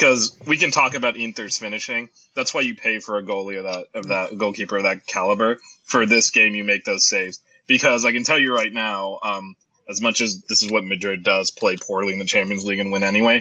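Fairly low in pitch, a man with an American accent and a normal speaking voice talks with fairly even intonation. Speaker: guest soccer fan. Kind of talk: casual chat.

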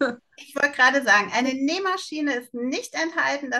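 At a moderate pace, a woman speaks in a bright, sharp tone with ordinary pitch variation. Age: 50s. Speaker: online shop founder. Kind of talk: interview.

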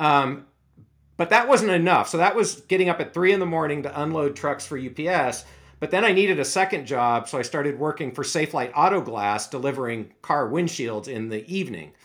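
A man with an American accent talks at a fairly quick pace in a plain, everyday voice. It sits fairly high in pitch, with lively intonation. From US Pacific Northwest, Seattle. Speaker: aging research scientist. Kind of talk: interview.

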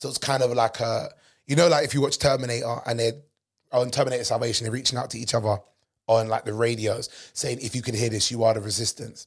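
Very fast and animated, a man with a London accent speaks at a medium pitch in a somewhat breathy voice. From England. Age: 30s. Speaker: comedian and podcast host. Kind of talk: casual chat. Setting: studio.

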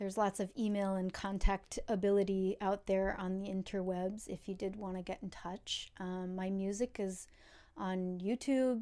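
Her voice is medium in pitch as the woman speaks at a moderate pace. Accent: New York State. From upstate New York. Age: 30s. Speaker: cellist. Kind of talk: casual interview. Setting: video call.

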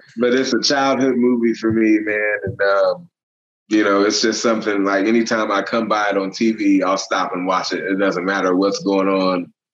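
A man with an American accent and a normal speaking voice, fairly low pitch, fairly even intonation, very even loudness, moderate pace. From Illinois, US Midwest. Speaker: movie location hunter and photographer. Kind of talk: casual chat.

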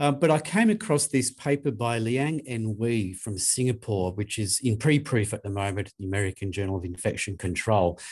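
With an Australian accent and a somewhat breathy, medium-pitched voice, a man talks at a moderate pace with hardly any pauses and ordinary pitch variation in a very clean recording with a silent background. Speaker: infection prevention specialist, podcast co-host. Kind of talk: casual professional discussion. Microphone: new desk microphone.

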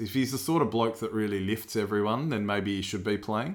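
Talking at a very fast pace, a man with an Australian accent has a fairly low pitch. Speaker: sports podcast co-host. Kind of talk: casual chat.

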